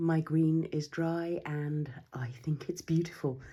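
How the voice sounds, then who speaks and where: Somewhat breathy and monotone, with flat intonation, a woman speaks at a very deep, low pitch in a dark, mellow tone. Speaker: watercolour artist. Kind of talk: casual talk to camera.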